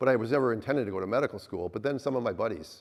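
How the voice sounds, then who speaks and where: Talking very fast with ordinary pitch variation, a man speaks with an Upper Midwest accent against a quiet background. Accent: Upper Midwest American. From US Midwest, Minnesota. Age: 60s. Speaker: obstetrician. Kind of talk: talk to a live audience. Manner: halting, with repeated words.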